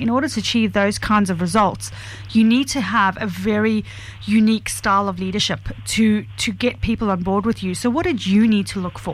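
Noticeable background noise accompanies a woman of medium pitch with ordinary pitch variation. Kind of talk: live radio co-host patter, wrapping up before an ad break. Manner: quick, chatty and breezy, with easy on-air banter.

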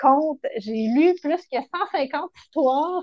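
Here a woman speaks in a Quebec accent. Her pace is very slow and her intonation lively. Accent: Québécois French. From Quebec, Montérégie. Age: 40s. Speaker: children's author. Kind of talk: casual interview chat.

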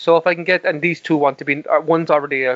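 Speaking with a Cork accent, a man keeps a fairly quick pace. His pitch is fairly high, with ordinary pitch variation. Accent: Cork Irish. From Ireland, Cork (Mallow). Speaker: podcast co-host. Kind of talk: casual chat.

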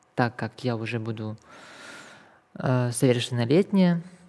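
Speaking at a fairly slow pace, a woman uses a very deep, low pitch and a dark, mellow tone. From Kazakhstan. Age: 20s. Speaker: activist sharing life story. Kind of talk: testimony.

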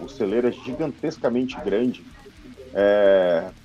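Music plays in the background as a man speaks. He talks at a fairly slow pace in a medium pitch. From São Paulo, Brazil. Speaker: metal band musician. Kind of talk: casual chat. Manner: animated.

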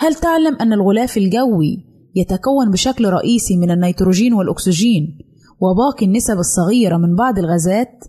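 A woman at a medium pitch, somewhat breathy and dark, mellow in tone, with lively intonation, very even loudness and a moderate pace. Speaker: radio presenter of a general-interest segment. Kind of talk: scripted informational narration.

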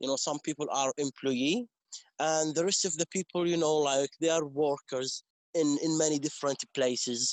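A man with an Arabic accent speaks at a moderate pace with fairly even intonation. His pitch is fairly high and his loudness very even. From West Bank, Palestine. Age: 20s. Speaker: English teacher and community representative. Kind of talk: interview. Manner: halting, with frequent repetitions.

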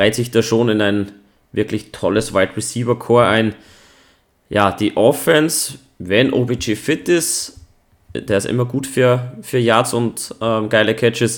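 A man talks at a very slow pace with fairly even intonation. The recording is very clean, with a silent background. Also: medium pitch for a man. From Austria. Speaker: podcast host. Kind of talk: casual chat.

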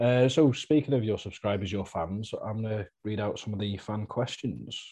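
A man's somewhat breathy, fairly low voice with a dark, mellow tone and ordinary pitch variation, over a quiet background. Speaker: podcast host. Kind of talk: casual interview chat.

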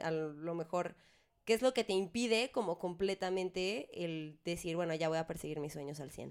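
In a Mexican accent, a woman speaks at a fairly low pitch and moderate pace with ordinary pitch variation on a very clean recording with a silent background. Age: 20s. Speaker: podcast co-host, singer. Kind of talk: casual chat.

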